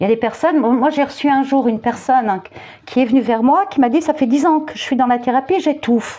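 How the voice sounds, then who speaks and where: This woman's voice is high, with ordinary pitch variation. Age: 50s. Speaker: youtuber and therapist. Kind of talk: commentary monologue. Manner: hesitant, repetitive.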